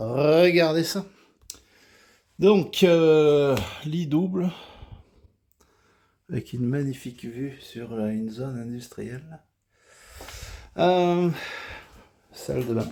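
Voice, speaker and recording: Speaking very slowly with long, frequent pauses, a man with a fairly high pitch and a dark, mellow tone uses lively intonation and big swings in loudness. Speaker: vlogger. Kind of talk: travel vlog. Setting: hotel room. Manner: hesitant with fillers.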